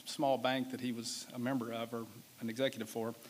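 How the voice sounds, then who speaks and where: A man talks with a Southern US accent. His intonation is monotone and flat. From US South. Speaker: business executive. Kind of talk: keynote speech. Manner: casual, halting with fillers.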